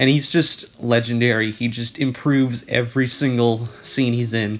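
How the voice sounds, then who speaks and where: Over noticeable background noise, a man of medium pitch speaks at a moderate pace in a monotone, flat intonation. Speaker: video essayist / commentary youtuber. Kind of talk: casual commentary narration.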